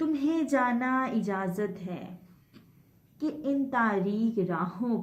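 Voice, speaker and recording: A woman with a normal speaking voice talks at a fairly high pitch, her intonation lively. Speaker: poet. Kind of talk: poetry reading.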